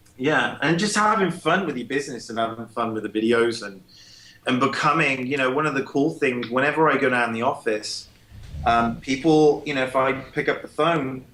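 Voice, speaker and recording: With an English accent, a man speaks at a moderate pace. His pitch is medium, with ordinary variation. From England, Cheltenham. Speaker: small business owner. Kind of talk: podcast interview. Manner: casual, many fillers.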